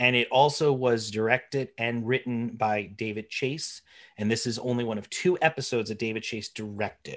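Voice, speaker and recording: On a very clean recording with a silent background, a man talks at a moderate pace, medium in pitch with fairly even intonation. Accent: New Jersey. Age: 30s. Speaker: podcast host, English teacher. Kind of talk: casual chat.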